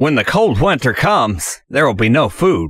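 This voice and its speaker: A man puts on a character voice, pitched in the medium range and swinging very widely up and down. The recording is very clean, with a silent background. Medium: read story. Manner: earnest, gracious.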